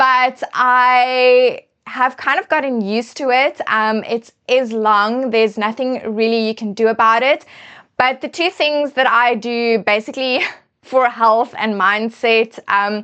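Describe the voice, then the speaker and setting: Against a quiet background, a woman speaks fairly slowly in a high, bright, sharp voice with fairly even intonation. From South Africa. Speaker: fashion and beauty influencer. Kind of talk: casual chat. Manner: hesitant fillers.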